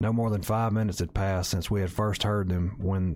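Plain reading aloud comes with fairly even intonation.

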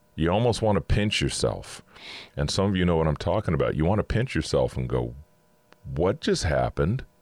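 The speaker moves at a fairly quick pace with vocal fry and very wide pitch swings. Loudness stays very even, and the sound is dry and close with no echo. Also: man, very deep, low pitch for a man. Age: 50s. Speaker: podcast host. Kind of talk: inspirational monologue. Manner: casual.

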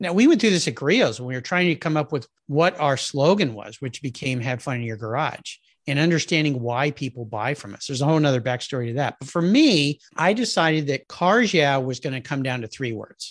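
Against a quiet background, a man with an American accent and an ordinary speaking voice talks fairly quickly at a fairly high pitch, with lively intonation and big swings in loudness. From Southern California, US. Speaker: automotive podcast host, marketing background. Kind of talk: casual interview chat.

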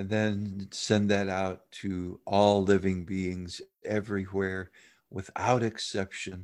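A man with a fairly low pitch, speaking at a very slow pace in a monotone, flat intonation, on a very clean recording with a silent background. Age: 60s. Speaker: meditation and communication teacher. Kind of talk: dharma talk; guided meditation.

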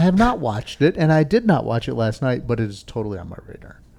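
A man is speaking. His pitch swings very widely. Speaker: cycling podcast host. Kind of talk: casual chat. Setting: bike shop recording.

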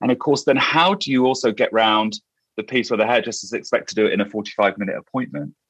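A man's fairly quick British-accented speech, with a dry, close sound and no echo. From UK. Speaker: hairdresser and podcast host. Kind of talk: interview. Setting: remote call.

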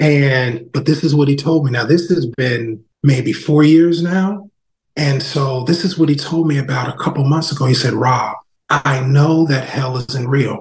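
Fairly slow and somewhat breathy, a man speaks with an American accent and fairly even intonation. His pitch is fairly high. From New Jersey. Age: 40s. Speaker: non-profit founder. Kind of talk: podcast interview.

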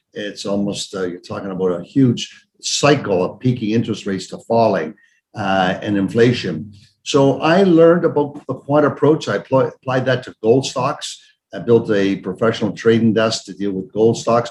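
With a Canadian accent, a man speaks at a moderate pace and medium pitch in an ordinary speaking voice with lively intonation. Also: big swings in loudness. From Canada, Toronto. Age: 60s. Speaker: investment fund executive. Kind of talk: interview.

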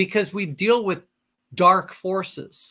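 A man's high, raised, projected voice with a bright, sharp tone at a fairly slow pace, on a very clean recording with a silent background. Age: 40s. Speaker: military pilot and life coach. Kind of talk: casual interview.

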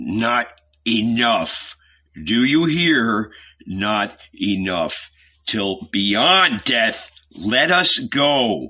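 Putting on a character voice, a man speaks at a very slow pace with a bright, sharp tone, a fairly low pitch and big pitch swings.

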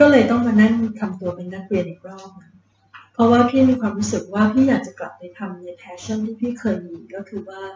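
A woman speaks in an ordinary speaking voice with a fairly high pitch. Her pitch varies in an ordinary way. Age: 50s. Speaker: hotel chief executive. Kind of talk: interview. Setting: on location in Phuket.

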